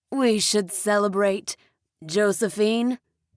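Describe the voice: The background is quiet. It is plain reading aloud with fairly even intonation.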